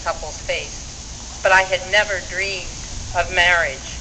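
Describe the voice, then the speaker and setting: There is audible room echo and noticeable background noise. A woman speaks at a fairly slow pace. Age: 70s. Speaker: activist speaker. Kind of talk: rally speech.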